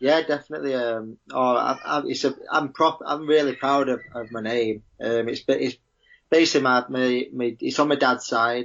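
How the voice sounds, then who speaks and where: With a strong Manchester accent, a man speaks using fairly even intonation. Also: medium pitch for a man, moderate pace. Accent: broad Manchester. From Manchester, England. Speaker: professional footballer. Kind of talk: podcast interview.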